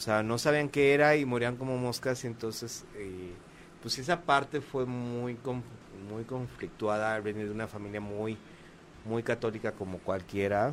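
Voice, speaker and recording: A man with an ordinary speaking voice talks rather slowly, his pitch shifting in a normal way. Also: medium pitch for a man. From Mexico. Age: 40s. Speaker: YouTuber and playwright. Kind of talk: casual chat.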